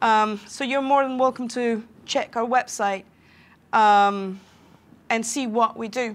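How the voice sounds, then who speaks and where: A woman speaks very slowly, her pitch fairly high and her intonation fairly even, with long, frequent pauses. The recording is very clean, with a silent background. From Venezuela. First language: Spanish. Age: 30s. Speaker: software developer and conference speaker. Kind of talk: conference talk. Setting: stage with live audience. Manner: hesitant, many fillers.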